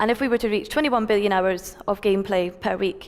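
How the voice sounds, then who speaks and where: The speaker has a Scottish accent. The intonation stays fairly even. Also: woman. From Scotland. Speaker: tech company founder, conference speaker. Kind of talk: conference talk. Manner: fast.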